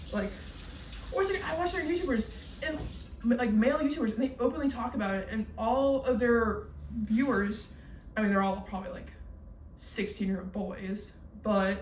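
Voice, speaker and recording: In an animated tone with lively intonation, a woman speaks at a fairly high pitch, with audible room echo. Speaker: YouTuber, college student. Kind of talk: casual chat. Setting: at home cleaning kitchen. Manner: fast.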